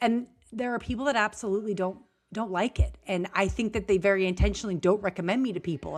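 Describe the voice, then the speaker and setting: A woman is speaking. She goes at a very fast pace. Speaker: business strategist podcast host. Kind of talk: casual podcast conversation. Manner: high energy.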